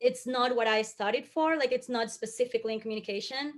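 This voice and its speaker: A woman talks with a Colombian accent. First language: Spanish. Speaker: communications professional. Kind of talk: panel discussion.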